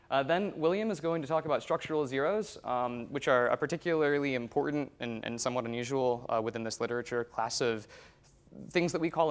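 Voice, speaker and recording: The recording is very clean, with a silent background. A man talks at a very fast pace with ordinary pitch variation. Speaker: census researcher presenting at a conference. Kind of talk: conference talk.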